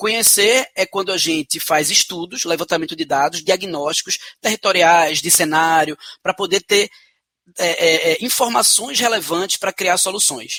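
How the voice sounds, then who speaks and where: A man's high-pitched voice has a bright, sharp tone, with a dry, close sound and no echo. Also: ordinary pitch variation, moderate pace. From Brazil, Pernambuco (Recife). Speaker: social entrepreneur. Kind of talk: interview. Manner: hesitant fillers.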